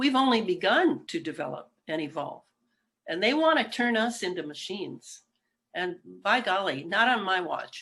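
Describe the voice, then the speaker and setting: Her bright, sharp tone sits at a medium pitch, moving at a moderate pace with very wide pitch swings. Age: 70s. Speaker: writer and researcher. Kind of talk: interview.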